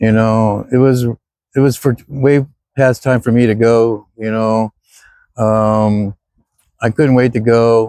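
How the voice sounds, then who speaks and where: A man's medium-pitched voice, dark and mellow in tone, very slow and monotone, with a dry, close sound and no echo. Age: 60s. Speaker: retired vlogger. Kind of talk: casual vlog monologue. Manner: halting, many fillers.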